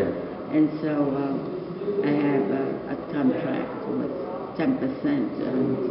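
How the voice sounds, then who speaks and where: The woman speaks at a very slow pace, leaving long, frequent pauses. Loud background noise runs behind her. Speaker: photographer. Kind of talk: interview answer. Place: home room. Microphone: camera far.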